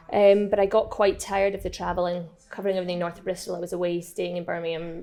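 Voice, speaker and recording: A woman talks at a very fast pace with a Scottish accent. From eastern Scotland, near St Andrews. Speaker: bar owner. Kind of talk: casual interview.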